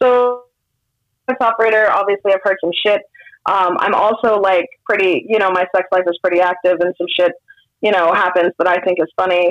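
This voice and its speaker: At a moderate pace, a woman speaks with fairly even intonation, very even loudness and long, frequent pauses, in dry, close sound with no echo. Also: medium pitch for a woman. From Sacramento, California. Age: 30s. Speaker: comedian. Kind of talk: casual chat.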